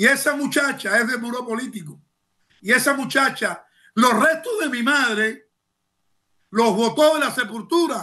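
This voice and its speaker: Against a quiet background, a man projects a bright, sharp, extremely high voice at a fairly slow pace with long, frequent pauses. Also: ordinary pitch variation. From Cuba. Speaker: former political prisoner and human rights activist. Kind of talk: news interview testimony. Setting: remote video link. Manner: halting with repetitions; impassioned. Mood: indignant, emotional. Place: home room. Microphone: webcam.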